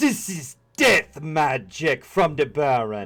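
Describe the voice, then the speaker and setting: Faint music plays behind a man. He talks at a fairly slow pace in a put-on character voice. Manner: solemn, ghostly.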